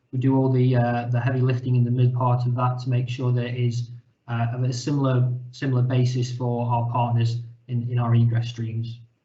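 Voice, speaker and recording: Audible room echo surrounds a voice with a British accent, delivered at a fairly quick pace in a monotone, flat intonation. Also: man, medium pitch for a man. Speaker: company representative presenting data product. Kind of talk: webinar presentation. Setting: online webinar call.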